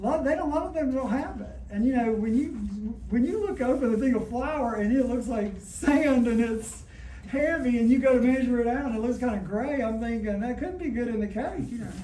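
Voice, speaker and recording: A man with a Southern US accent talks at a fairly quick pace in an extremely high pitch, with ordinary pitch variation, audible room echo and noticeable background noise. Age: 60s. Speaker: cooking demonstrator. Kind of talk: cooking demonstration. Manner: conversational.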